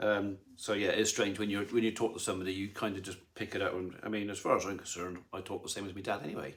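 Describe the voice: Talking fast, a man uses a fairly low pitch and a fairly bright tone, with little pitch movement.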